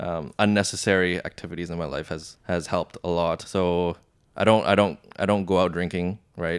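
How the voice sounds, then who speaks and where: The recording is very clean with a silent background. A man speaks with a very deep, low pitch. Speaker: entrepreneur. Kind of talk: casual chat.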